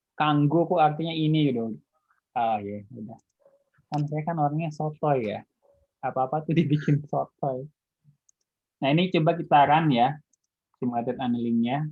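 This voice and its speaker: This man talks at a moderate pace in a fairly high pitch with ordinary pitch variation. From Indonesia, not Betawi. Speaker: university lecturer. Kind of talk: online lecture. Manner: casual, with fillers.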